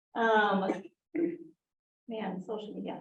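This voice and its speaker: A woman's fairly high voice with audible room echo. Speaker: digital marketing expert on a panel. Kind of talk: panel presentation.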